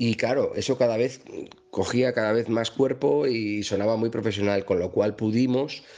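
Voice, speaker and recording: A man speaks at a moderate pace in a dark, mellow tone of medium pitch. His loudness stays very even, and his pitch varies in an ordinary way. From Madrid, Spain. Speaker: singer-songwriter. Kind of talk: interview. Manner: halting, repeats words.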